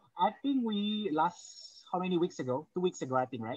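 Dry and with no echo, a man's high, bright, sharp voice moves at a fairly quick pace. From Indonesia. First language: Indonesian. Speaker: professor; seminar host, moderator. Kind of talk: seminar moderation. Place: home room. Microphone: video call.

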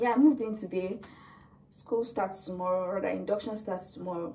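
A woman speaks at a moderate pace. Noticeable background noise runs under her voice. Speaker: student vlogger. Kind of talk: casual vlog chat. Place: home room. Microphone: camera far.

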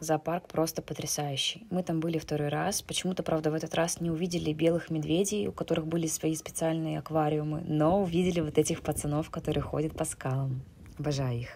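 Quick-paced at a fair clip, a woman speaks with a very deep, low pitch, a dark, mellow tone and fairly even intonation. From Siberia, Russia. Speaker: travel and knitting vlogger. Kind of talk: travel vlog narration.

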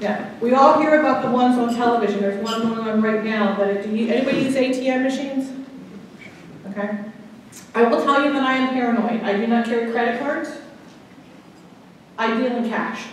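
A woman's fairly even intonation carries strong room echo, with light background noise. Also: fairly quick pace. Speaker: guest, attorney. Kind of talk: lecture. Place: hall. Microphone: camera far.

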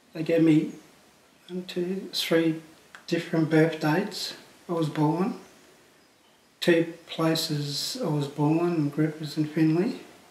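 Audible room echo surrounds a man with a fairly high pitch who speaks at a very slow pace with fairly even intonation and long, frequent pauses. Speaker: legal aid client. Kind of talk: testimony. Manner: halting. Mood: calm, reflective, subdued. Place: home room.

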